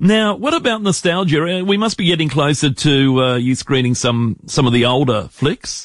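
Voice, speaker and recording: A man at a fairly high pitch, lively intonation and moderate pace, with very even loudness and hardly any pauses. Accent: Australian. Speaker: radio host. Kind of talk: casual radio chat. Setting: radio studio.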